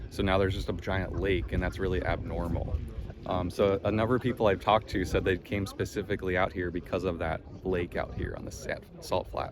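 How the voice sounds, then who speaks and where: With an American accent, a man speaks at a fairly quick pace in a very deep, low pitch. His intonation stays fairly even. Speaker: travel vlogger. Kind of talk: casual vlog narration. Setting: outdoors. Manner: casual, filler-heavy.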